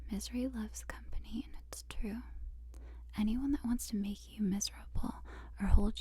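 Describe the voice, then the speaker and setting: The speaker is soft-spoken and keeps a fairly slow pace. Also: woman. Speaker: ASMR artist. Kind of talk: ASMR affirmations.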